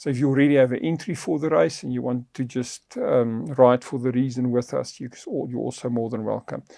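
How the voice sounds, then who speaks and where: A man's dark, mellow voice at a medium pitch, with a South African accent, a moderate pace, ordinary pitch variation and a quiet background. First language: Afrikaans. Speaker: podcast host on faith and finance. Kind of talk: podcast conversation.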